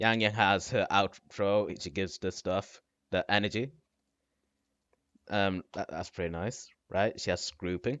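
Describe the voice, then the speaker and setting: Speaking at a fairly slow pace with long, frequent pauses, a man uses a fairly low voice and fairly even intonation. He talks with a non-native accent. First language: not English. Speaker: gaming content creator. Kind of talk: casual commentary on a game tier list.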